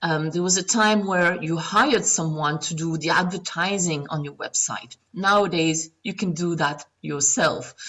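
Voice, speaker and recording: A woman with a non-native accent and a fairly low pitch speaks at a fairly slow pace with hardly any pauses and ordinary pitch variation. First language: not English. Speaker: online marketing coach. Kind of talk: tutorial. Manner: casual, frequent fillers.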